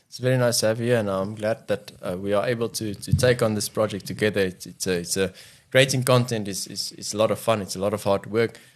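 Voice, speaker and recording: This man talks at a very fast pace with an Afrikaans accent. His pitch is fairly low, with ordinary variation. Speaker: podcast co-host. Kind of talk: casual chat.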